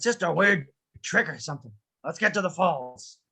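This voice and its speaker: Putting on a character voice, a man speaks high and raspy at a moderate pace. His intonation is lively. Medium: stage play. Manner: gruff, irritable.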